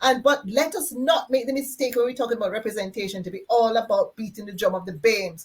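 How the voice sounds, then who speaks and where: The woman speaks with a fairly high pitch and ordinary pitch variation. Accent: Jamaican. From Jamaica. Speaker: conference host. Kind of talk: panel discussion.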